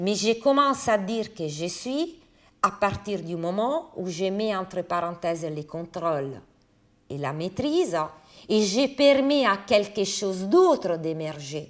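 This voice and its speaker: A woman with an Italian accent talks at a very slow pace, her medium pitch making very wide swings. The recording is very clean, with a silent background. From Italy. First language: Italian (speaking French). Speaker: philosopher. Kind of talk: lecture.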